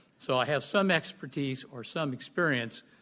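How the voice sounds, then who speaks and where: A loud man's voice of medium pitch, bright and sharp in tone, over a quiet background. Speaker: public commenter at planning meeting. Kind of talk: public comment presentation. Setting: public meeting.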